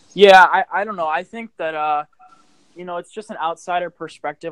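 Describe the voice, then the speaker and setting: A normal speaking voice from a man, fairly quick, with ordinary pitch variation and a dry, close sound with no echo. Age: 20s. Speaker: social media influencer. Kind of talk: casual interview.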